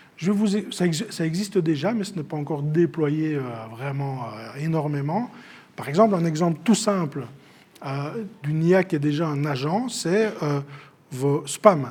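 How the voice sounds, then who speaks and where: A fairly high-pitched man at a fairly slow pace, with ordinary pitch variation and audible room echo. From Belgium, Namur and Luxembourg province. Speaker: AI trainer and speaker. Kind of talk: conference talk. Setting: stage with audience.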